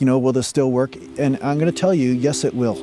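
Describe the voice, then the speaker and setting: Male speech, medium in pitch and fairly quick, with ordinary pitch movement over noticeable background noise. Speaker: spiritual teacher. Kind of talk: tutorial. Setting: outdoors.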